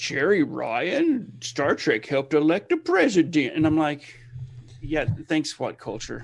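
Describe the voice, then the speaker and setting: A man's fairly high voice with vocal fry, at a very slow pace. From Alabama. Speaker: podcast co-host. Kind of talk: casual chat. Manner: casual.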